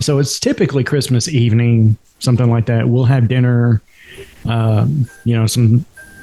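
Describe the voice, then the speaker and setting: A man with a medium pitch and fairly even intonation talks while music plays behind him. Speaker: podcast guest, host's brother. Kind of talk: casual chat. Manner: fast.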